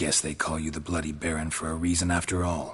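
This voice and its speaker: Using a put-on character voice, a man growls at a very deep, low pitch in a deadpan tone, speaking very fast. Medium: video game. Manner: terse, deadpan.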